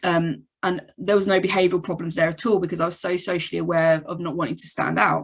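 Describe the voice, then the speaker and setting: The speaker goes at a very fast pace with hardly any pauses. Vocal fry runs through the voice. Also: woman, fairly low pitch for a woman. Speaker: psychologist. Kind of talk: presentation. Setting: video call. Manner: monotone.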